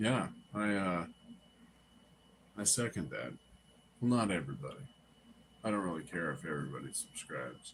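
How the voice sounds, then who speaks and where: Using a very deep, low pitch with vocal fry, a man speaks at a moderate pace with very wide pitch swings and long, frequent pauses. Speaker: live streamer. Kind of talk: casual chat. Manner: laid-back.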